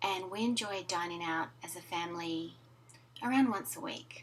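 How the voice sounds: The pace of this woman's speech is fairly slow. Her voice has a medium pitch.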